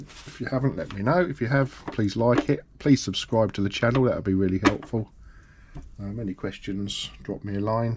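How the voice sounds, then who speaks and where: A man speaks with a British accent. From UK. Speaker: sewing machine repairer. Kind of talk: tutorial. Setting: workshop. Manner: casual.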